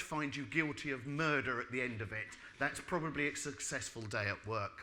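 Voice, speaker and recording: Audible room echo surrounds a man with a British accent, speaking at a medium pitch with ordinary pitch variation. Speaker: building regulations expert. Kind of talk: lecture. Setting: stage with audience. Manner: fast.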